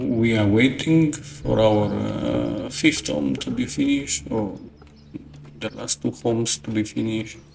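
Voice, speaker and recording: Over noticeable background noise, a soft-spoken man with a non-native accent talks at a fairly slow pace. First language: not English. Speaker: gaming YouTuber. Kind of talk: gameplay tutorial commentary. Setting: at home early morning. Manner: hesitant, many fillers.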